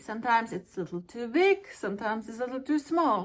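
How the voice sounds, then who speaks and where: With an ordinary speaking voice, a woman talks at a fairly quick pace in a fairly high pitch, her intonation lively. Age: 40s. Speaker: fashion vlogger. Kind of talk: product review vlog.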